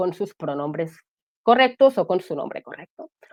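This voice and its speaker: Her pitch swings very widely as the woman speaks at a fairly quick pace. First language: Catalan (speaking Spanish). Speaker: guest sharing mental health testimony. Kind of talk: testimony.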